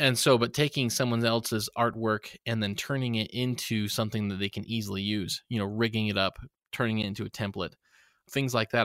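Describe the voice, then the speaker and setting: This man has a medium pitch and an unremarkable speaking voice, talking at a fairly quick pace. The sound is dry and close with no echo, on a very clean recording with a silent background. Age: 30s. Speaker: YouTube tutorial creator. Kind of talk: casual interview.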